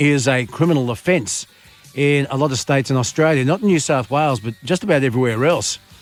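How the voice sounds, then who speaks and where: A man's fairly high voice at a fairly quick pace, with ordinary pitch variation and music playing in the background. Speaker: late-night radio host. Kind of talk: radio show host talk. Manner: dry, humorous.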